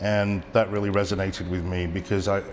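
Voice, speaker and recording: Audible room echo surrounds a man with a British accent. He speaks at a fairly quick pace in a fairly low, monotone, flat voice. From England. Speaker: cinematographer and editor, eulogy speaker. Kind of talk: eulogy speech. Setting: theatre stage with audience. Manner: halting.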